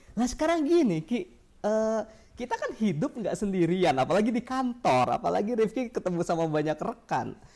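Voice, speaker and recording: The speech runs at a fairly quick pace. Noticeable background noise can be heard. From Jakarta, Indonesia. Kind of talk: casual advice conversation.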